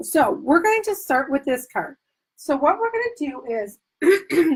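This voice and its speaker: Using a put-on character voice, a woman sounds hoarse and raspy at a high pitch. She goes fairly slowly, her pitch swinging very widely. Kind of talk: craft demonstration.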